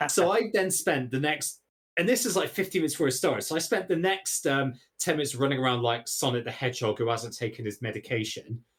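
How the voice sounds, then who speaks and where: A man with a Bristolian accent talks at a very fast pace, somewhat breathy, with lively intonation. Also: fairly high pitch for a man. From England, Bristol. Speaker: podcast guest, stream host. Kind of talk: casual chat.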